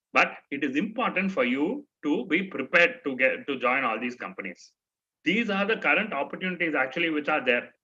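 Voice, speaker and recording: Delivered at a fairly quick pace with an Indian accent, the voice has a bright, sharp tone and very wide pitch swings. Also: man, fairly high pitch for a man. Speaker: trainer. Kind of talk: orientation talk to students.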